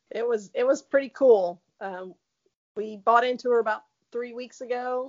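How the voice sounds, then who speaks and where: Her intonation stays monotone and flat. The woman's pitch is fairly high. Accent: Southern US. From Tennessee. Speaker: racehorse owner. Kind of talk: casual interview. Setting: phone call.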